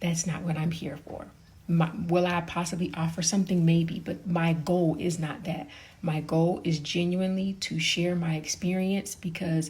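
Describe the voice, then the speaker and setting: A somewhat breathy woman speaks fairly low in pitch, at a moderate pace, with fairly even intonation. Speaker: parenting content creator, podcaster. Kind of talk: casual talk to camera.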